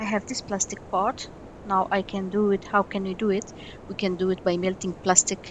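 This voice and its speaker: At a moderate pace, a woman with a non-native accent talks at a medium pitch. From Egypt. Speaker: miniature craft artist. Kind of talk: tutorial. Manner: halting.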